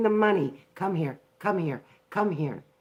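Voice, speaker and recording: A woman speaks with an unremarkable speaking voice at medium pitch, with ordinary pitch variation and an American accent. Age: 60s. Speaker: vlogger. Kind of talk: live stream commentary. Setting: live broadcast from home. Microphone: poor internet and phone connection.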